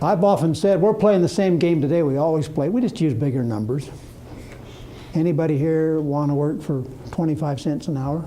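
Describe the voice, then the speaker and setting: Audible room echo surrounds a man with a fairly high voice. He talks at a fairly quick pace, his pitch varying in an ordinary way. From Utah, US. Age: 70s. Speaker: retired executive. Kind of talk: lecture.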